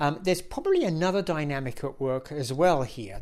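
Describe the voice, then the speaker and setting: In a very clean recording with a silent background, a man with a British accent talks with lively intonation. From UK. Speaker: media industry analyst. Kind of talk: solo commentary video.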